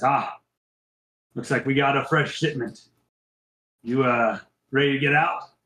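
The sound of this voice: A man puts on a gruff character voice at a medium pitch. He talks at a moderate pace with long, frequent pauses.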